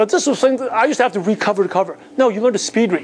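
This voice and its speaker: A man with a Chinese accent talks over noticeable background noise. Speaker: business coach. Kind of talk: motivational seminar talk.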